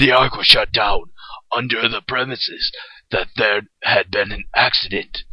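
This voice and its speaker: This man puts on a cartoonish character voice at a medium pitch, talking at a moderate pace with ordinary pitch variation. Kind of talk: cartoon fandub audition. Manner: grave, vengeful.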